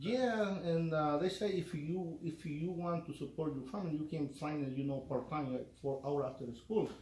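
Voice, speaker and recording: Over noticeable background noise and audible room echo, a man with a Spanish accent and a fairly high pitch speaks at a moderate pace with hardly any pauses and ordinary pitch variation. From El Salvador. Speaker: union electrician. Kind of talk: interview. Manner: halting.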